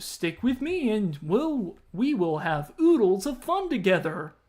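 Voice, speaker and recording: The speaker uses a put-on character voice at a fairly high pitch. The pace is fairly slow, with very wide pitch swings. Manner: cheerful, chirpy.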